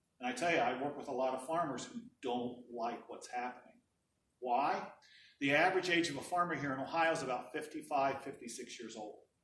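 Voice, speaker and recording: Audible room echo surrounds a man with a fairly high pitch talking at a fairly quick pace with ordinary pitch variation. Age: 60s. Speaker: energy policy director. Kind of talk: presentation.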